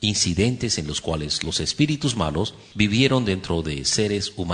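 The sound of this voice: The delivery is an unforced reading voice carrying lively intonation.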